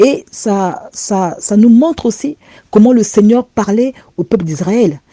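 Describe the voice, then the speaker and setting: At a very slow pace, a woman with a dark, mellow tone and fairly high pitch uses lively intonation in a dry, close sound with no echo. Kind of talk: religious testimony. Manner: repetitive, stammering.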